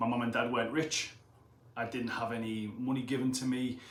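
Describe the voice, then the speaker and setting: A man with a Teesside accent talks at a fairly quick pace in a flat, monotone delivery at medium pitch, with noticeable background noise and audible room echo. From northern England, Middlesbrough. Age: 30s. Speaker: personal trainer and gym owner. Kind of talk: motivational talk to camera. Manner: casual, conversational.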